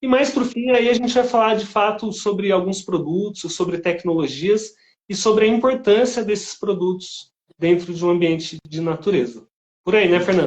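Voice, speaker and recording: Ordinary pitch variation in a man's high voice, moving at a moderate pace. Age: 40s. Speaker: live-stream host. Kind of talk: live-stream interview. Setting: live stream. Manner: casual, conversational.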